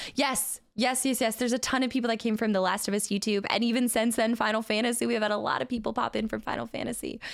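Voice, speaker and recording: On a very clean recording with a silent background, an animated woman talks very fast, her fairly high voice showing vocal fry. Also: hardly any pauses, very even loudness. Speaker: video game streamer. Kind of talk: live stream chat with viewers.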